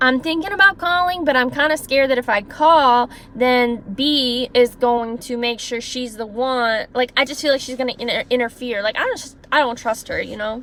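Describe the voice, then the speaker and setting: A woman talks loudly in a high voice at a moderate pace, with ordinary pitch variation and hardly any pauses. Noticeable background noise sits behind her. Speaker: former caregiver, vlogger. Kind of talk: storytime monologue. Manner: animated.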